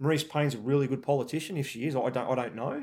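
Talking at a very fast pace, a man with a rural Australian accent has a fairly high pitch. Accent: broad rural Australian. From Australia, rural New South Wales. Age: 40s. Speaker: army veteran. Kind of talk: interview.

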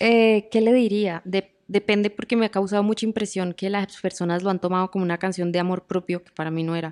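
With a Colombian accent, a woman speaks at a medium pitch and a fairly quick pace, with fairly even intonation, hardly any pauses and big swings in loudness, in a dry, close sound with no echo against a quiet background. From Colombia, Bucaramanga. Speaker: singer-songwriter. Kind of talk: interview conversation.

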